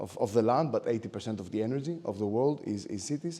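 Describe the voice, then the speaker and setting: A man with a Greek accent, medium pitch, ordinary pitch variation, a dark, mellow tone and a fairly quick pace. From Greece. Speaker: architect and lecturer. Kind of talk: lecture. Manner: hesitant, many fillers.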